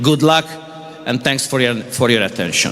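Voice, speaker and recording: Noticeable background noise and audible room echo accompany a man speaking with a Hungarian accent. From Hungary. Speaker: sports official. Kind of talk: ceremonial speech. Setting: indoor event hall. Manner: halting.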